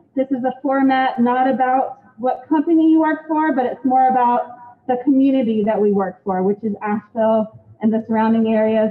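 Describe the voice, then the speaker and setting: Pitch varies in a normal way as the words come at a medium speed. Background noise is noticeable throughout. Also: woman. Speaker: real estate agent. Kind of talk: event welcome speech. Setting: event space with live audience, streamed online.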